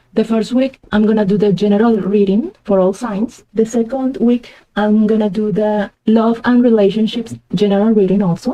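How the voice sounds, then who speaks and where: Speaking with a Spanish accent, a woman uses a fairly high pitch and a dark, mellow tone, keeping her loudness very even with hardly any pauses. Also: fairly even intonation, moderate pace. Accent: Spanish accent, noted by herself. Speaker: tarot reader. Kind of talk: tarot reading.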